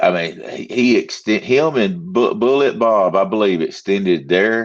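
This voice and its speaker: Using lively intonation, a man with a Southern US accent talks at a moderate pace. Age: 60s. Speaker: podcast host. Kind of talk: casual chat.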